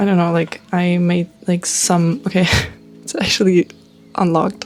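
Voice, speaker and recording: Over music in the background, a woman talks in a fairly low pitch with monotone, flat intonation. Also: moderate pace. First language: German and Russian. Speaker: vlogger. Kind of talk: casual vlog monologue. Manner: halting, many fillers and restarts; casual, chatty.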